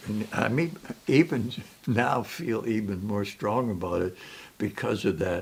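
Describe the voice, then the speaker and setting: A man with an American accent speaks at a fairly slow pace. His voice is fairly low-pitched and somewhat breathy. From US Midwest, southern Minnesota. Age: 80s+. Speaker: retired journalist. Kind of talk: oral history interview. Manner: halting.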